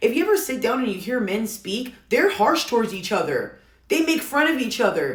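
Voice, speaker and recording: Amid noticeable background noise and audible room echo, a woman speaks loudly with a passionate tone, high pitch, very wide pitch swings and a moderate pace. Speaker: commentary content creator. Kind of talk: casual opinion rant to camera. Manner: loud, passionate.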